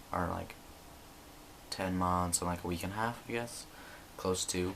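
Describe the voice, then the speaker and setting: Audible room echo surrounds a man speaking at a moderate pace in a very deep, low pitch with monotone, flat intonation. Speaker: vlogger. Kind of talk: video diary update. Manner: casual, many fillers.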